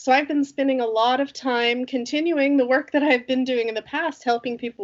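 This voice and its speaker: A woman with an American accent speaks at a high pitch and a moderate pace, her intonation fairly even. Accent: American, non-native in Sweden. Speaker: company CEO, flow metrics consultant. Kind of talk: interview.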